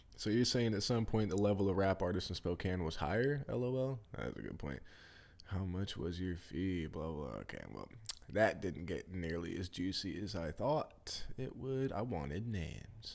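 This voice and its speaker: A man talks at a moderate pace with lively intonation. His voice sits fairly low. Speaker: streamer. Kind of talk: casual vlog chat reading comments aloud. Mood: casual, wry. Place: home room. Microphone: studio mic.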